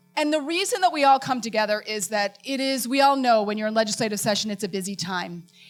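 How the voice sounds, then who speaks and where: A woman at a very fast pace over music in the background, with lively intonation and hardly any pauses. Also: fairly high pitch for a woman. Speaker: president of an education advocacy organization, forum host. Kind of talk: opening remarks at a public forum. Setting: event with live audience.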